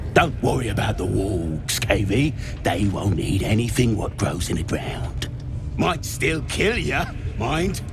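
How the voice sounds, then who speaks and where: A put-on character voice moves at a fairly slow pace against loud background noise. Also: man, fairly low pitch for a man. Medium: machinima.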